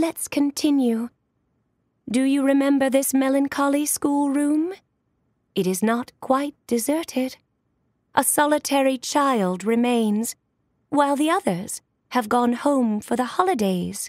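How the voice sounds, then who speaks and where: A woman puts on a character voice, pitched high and moving at a fairly slow pace with long, frequent pauses. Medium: read story.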